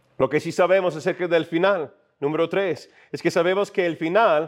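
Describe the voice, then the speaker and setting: A man speaks in a high pitch. The background is quiet. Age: 40s. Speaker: pastor. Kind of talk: sermon. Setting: church.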